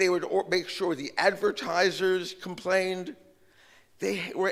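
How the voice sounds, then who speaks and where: A man's voice, high in pitch. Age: 60s. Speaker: media analyst and former political staffer. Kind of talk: conference talk. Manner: animated.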